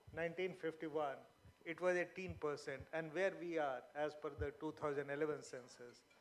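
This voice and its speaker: A man speaks with a fairly high pitch. His pace is moderate. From Bihar, India (Magahi-speaking area). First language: Magahi. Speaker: panelist at literature festival. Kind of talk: panel discussion. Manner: hesitant, many fillers.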